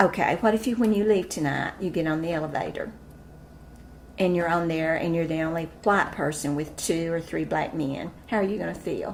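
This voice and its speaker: A woman's fairly low voice with an Appalachian accent, at a moderate pace and with ordinary pitch variation. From East Tennessee. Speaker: school administrator. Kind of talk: interview answer.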